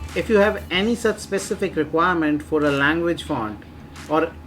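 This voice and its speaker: Fairly quick speech in an Indian accent, with noticeable background noise. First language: Hindi. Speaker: software reviewer, online marketing channel host. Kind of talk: tutorial, software review and demo.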